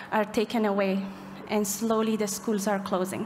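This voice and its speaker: A woman's fairly high voice at a moderate pace, over light background noise. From Afghanistan. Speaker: human rights advocate. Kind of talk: speech at gala event. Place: hall. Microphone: podium.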